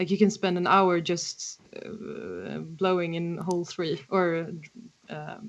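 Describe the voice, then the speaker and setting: The pace is very slow, in a Swedish accent. Loudness swings a lot. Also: woman. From Sweden. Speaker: harmonica player and songwriter. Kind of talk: casual interview chat. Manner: halting, many fillers.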